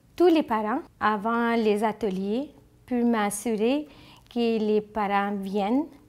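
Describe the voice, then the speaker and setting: On a very clean recording with a silent background, a speaker in a Bengali accent goes very slowly, leaving long, frequent pauses. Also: woman, fairly high pitch for a woman, ordinary pitch variation. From Bangladesh. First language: Bengali (speaking French). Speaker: school-community liaison and interpreter. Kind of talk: interview testimony.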